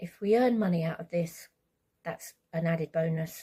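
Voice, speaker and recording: Speaking in a British accent, a woman has a fairly low, somewhat breathy voice with a dark, mellow tone. She talks at a moderate pace. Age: 60s. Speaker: vlogger, carer of brain-injured partner. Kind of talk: casual vlog monologue. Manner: hesitant, many fillers.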